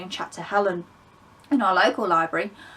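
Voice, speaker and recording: A woman with an English accent talks at a very fast pace. Her tone is bright and sharp, with ordinary pitch variation. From England. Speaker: book vlogger. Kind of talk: casual vlog monologue. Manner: conversational, with fillers.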